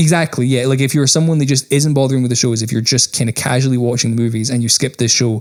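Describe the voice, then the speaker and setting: A medium-pitched man at a very fast pace, with fairly even intonation. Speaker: podcast co-host, band member. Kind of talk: casual chat.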